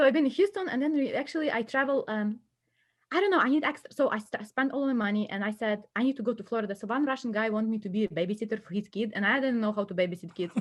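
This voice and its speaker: Against a quiet background, a woman talks very fast with a Ukrainian accent. Her voice is fairly high, somewhat breathy and lively in intonation. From western Ukraine, Lviv. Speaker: immigrant student guest. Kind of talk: casual chat. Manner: animated.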